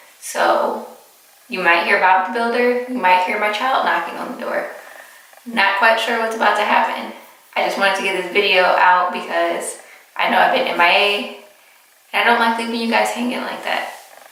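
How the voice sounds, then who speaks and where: A woman talks at a moderate pace in a medium-pitched voice with fairly even intonation. Noticeable background noise and audible room echo surround her. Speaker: vlogger. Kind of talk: casual chat.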